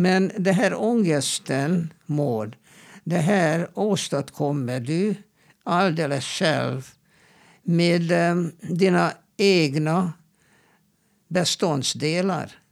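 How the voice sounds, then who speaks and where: A man with a high pitch speaks at a very slow pace, with long, frequent pauses and ordinary pitch variation. His loudness is very even, and the recording is very clean with a silent background. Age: old. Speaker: clinical psychologist. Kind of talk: advice-giving interview. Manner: halting, repeats words.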